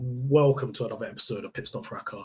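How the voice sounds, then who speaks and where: A man's somewhat breathy voice at medium pitch and a moderate pace. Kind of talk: casual chat. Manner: halting.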